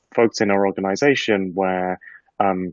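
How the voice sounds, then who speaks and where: This man speaks at a fairly quick pace with a British accent. His pitch is fairly low and varies in an ordinary way. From UK. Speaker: market research executive. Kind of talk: panel discussion.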